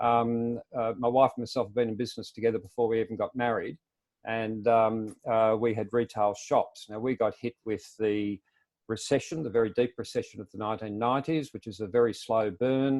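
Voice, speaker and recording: A man with an Australian accent, medium-pitched, at a fairly quick pace, fairly even in intonation, against a quiet background. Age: 60s. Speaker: self-employment advocate. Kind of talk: webinar presentation. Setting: webinar.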